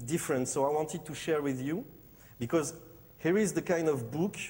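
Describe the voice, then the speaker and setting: A man speaks with a French accent. His pitch variation is ordinary. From Morocco and France. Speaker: designer. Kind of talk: conference presentation. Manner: halting, many fillers.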